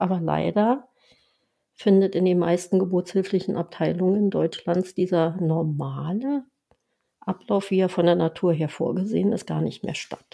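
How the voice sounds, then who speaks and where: A woman talks at a fairly slow pace with a medium pitch. Her tone is dark and mellow, and her pitch varies in an ordinary way. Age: 60s. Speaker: lactation consultant and pediatric nurse. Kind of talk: interview.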